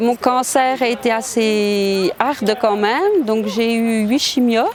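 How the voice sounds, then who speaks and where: Against noticeable background noise, a woman with a fairly high pitch speaks at a very slow pace with fairly even intonation. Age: 60s. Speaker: cancer survivor, mountain trek participant. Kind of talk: documentary interview testimony.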